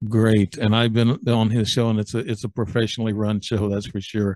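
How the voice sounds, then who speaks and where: The voice is flat and monotone. The sound is dry with no echo, over a quiet background. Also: man. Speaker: podcast host. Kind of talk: talk show hosting. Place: home room. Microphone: studio mic.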